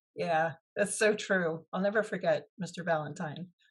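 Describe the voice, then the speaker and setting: Somewhat breathy and fairly low in pitch, a woman talks with fairly even intonation. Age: 60s. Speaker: author and former teacher. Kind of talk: interview.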